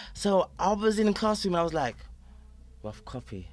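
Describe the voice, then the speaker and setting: The recording is very clean and the background silent. A man speaks at a fairly quick clip. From Sheffield, northern England. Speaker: R&B group singer. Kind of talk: casual interview.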